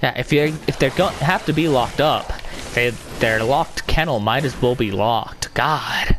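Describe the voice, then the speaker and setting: A man talks at medium pitch and a moderate pace with ordinary pitch variation. His loudness stays very even, with music in the background. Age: 20s. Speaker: gamer. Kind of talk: casual chat.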